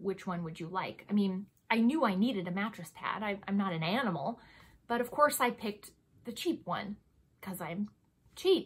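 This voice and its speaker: The voice is somewhat breathy, with lively intonation. It moves at a moderate pace, broken by long, frequent pauses. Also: woman, medium pitch for a woman. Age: 30s. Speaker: beauty and lifestyle vlogger. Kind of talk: casual monologue product review. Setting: home recording. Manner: chatty, self-deprecating, laughs often.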